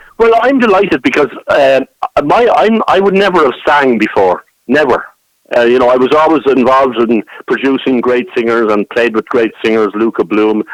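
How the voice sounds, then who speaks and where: With a Dublin accent, a man talks at a moderate pace in a medium pitch, his pitch swinging very widely while his loudness stays very even, recorded with a dry, close sound and no echo. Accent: Irish (Dublin). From Dublin, Ireland. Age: 60s. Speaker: traditional musician and songwriter. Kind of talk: radio interview. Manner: halting, many repetitions.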